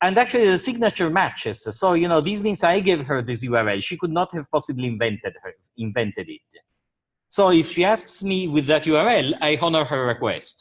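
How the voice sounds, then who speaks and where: A man's high-pitched voice with very wide pitch swings, at a fairly quick pace. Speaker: university lecturer. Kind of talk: lecture.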